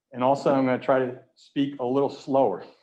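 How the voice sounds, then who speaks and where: His delivery is fairly quick. The man's voice carries audible echo from the room. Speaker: research professor giving a public lecture. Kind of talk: lecture. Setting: virtual lecture from an empty auditorium podium. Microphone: sounds a little muffled behind the mask.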